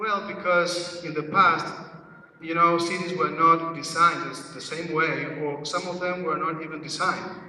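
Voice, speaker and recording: A man with a high-pitched voice speaks at a moderate pace in a monotone, flat manner with big swings in loudness, amid noticeable background noise and audible room echo. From Uruguay. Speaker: conference speaker. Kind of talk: presentation. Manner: hesitant, many fillers.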